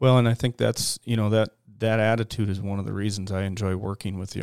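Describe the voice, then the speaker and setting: Recorded very cleanly against a silent background with a dry, close sound with no echo, a man with an American accent speaks fairly quickly in a fairly low pitch with monotone, flat intonation. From Minnesota, Detroit Lakes. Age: 40s. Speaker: aerial applicator pilot. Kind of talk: casual interview. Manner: halting, many fillers and repeats.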